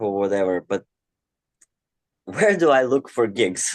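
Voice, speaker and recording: A man with a Russian accent speaks at a medium pitch, the sound dry and close with no echo. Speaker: aspiring mindfulness coach. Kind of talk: coaching Q&A. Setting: online breakout room.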